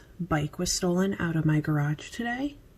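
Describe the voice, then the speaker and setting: A woman speaks quietly at a moderate pace, her pitch fairly low. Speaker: beauty vlogger. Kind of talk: casual product review vlog. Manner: casual, filler-heavy.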